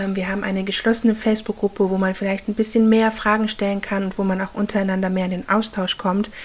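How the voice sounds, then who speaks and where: A woman's fairly high voice with ordinary pitch variation over noticeable background noise. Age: 30s. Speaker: podcast host and handmade business owner. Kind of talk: solo podcast monologue. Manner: halting.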